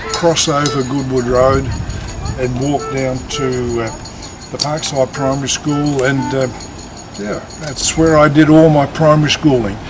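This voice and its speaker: A man in an Australian accent speaks at a fairly slow pace with fairly even intonation, over music in the background and audible room echo. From Australia (Adelaide, South Australia). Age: 70s. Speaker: retired man telling his life story. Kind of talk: interview / personal life story. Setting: on location at his old school. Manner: hesitant, many filler uh's.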